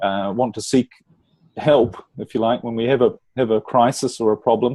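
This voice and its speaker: A man with a New Zealand accent speaks at a moderate pace in a dark, mellow tone, the sound dry and close with no echo. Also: medium pitch for a man. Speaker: relationship coach. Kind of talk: interview podcast.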